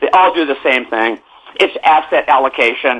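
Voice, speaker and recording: A man with an American accent and a fairly high pitch, at a moderate pace, over noticeable background noise. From California. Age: 70s. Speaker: newsletter publisher and real estate analyst. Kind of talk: interview. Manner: halting with many repetitions.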